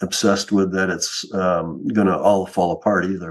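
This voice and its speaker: The man's pitch is fairly low and his intonation is flat and monotone. He keeps to a moderate pace. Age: 70s. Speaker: retired trader. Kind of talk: interview.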